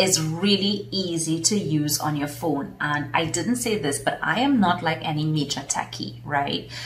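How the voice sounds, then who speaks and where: A woman's very deep, low voice in a Trinidadian accent, at a fairly slow pace with ordinary pitch variation, amid noticeable background noise and audible room echo. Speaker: business consultant and coach. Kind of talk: casual vlog talk.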